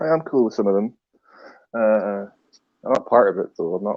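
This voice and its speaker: Speech in a Scottish accent moves at a fairly quick pace. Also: man. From Scotland. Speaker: livestream guest. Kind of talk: heated debate.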